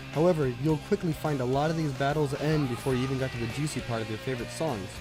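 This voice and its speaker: Music plays in the background as a man speaks at a very fast pace and medium pitch. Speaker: game reviewer. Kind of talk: video game review narration. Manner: quiet.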